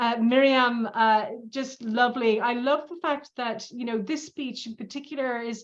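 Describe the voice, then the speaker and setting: Speaking in a plain, everyday voice, a woman uses a fairly high pitch with ordinary pitch variation. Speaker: speech evaluator. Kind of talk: speech feedback.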